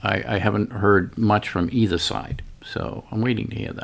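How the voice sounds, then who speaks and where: A man's unremarkable speaking voice with an American accent, fairly low in pitch, at a moderate pace with ordinary pitch variation. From Boston. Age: 60s. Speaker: guest co-host, army veteran. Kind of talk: casual chat.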